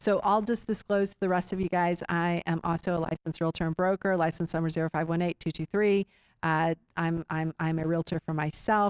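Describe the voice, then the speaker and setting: This woman has a fairly low voice and a Texan accent, talking at a fairly quick pace. The sound is dry and close, with no echo. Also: very clean recording, silent background. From Austin, Central Texas. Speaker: real estate investor meeting host. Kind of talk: meeting presentation. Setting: room with live audience. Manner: halting, many fillers.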